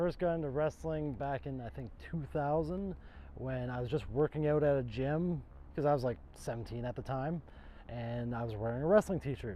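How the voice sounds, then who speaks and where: In an ordinary speaking voice, a man's fairly high pitch shows ordinary pitch variation at a moderate pace. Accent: Canadian. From Ontario, Canada. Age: 30s. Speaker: pro wrestler. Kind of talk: documentary interview.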